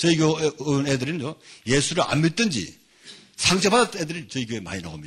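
Very wide pitch swings run through a man's speech, which comes at a very fast pace. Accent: North Korean. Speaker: pastor and lecturer on North Korea mission. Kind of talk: lecture. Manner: animated.

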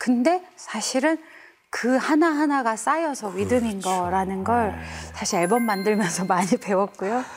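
A woman speaks at a moderate pace with a fairly high pitch and lively intonation. She has an ordinary speaking voice. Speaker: gospel singer. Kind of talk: interview.

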